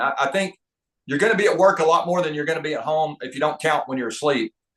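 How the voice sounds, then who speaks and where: Talking at a very fast pace, a man with a slight Southern US accent uses a high pitch and ordinary pitch variation. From US South, North Georgia. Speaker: leadership trainer and author. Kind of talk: podcast interview. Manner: halting, frequent word repetitions.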